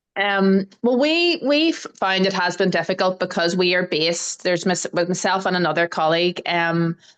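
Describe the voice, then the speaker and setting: A woman with an Irish accent, medium pitch, ordinary pitch variation, very even loudness, a moderate pace and hardly any pauses. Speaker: research nurse. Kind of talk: casual chat.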